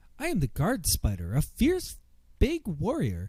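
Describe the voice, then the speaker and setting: A man's put-on character voice at a moderate pace. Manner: cheery yet fierce.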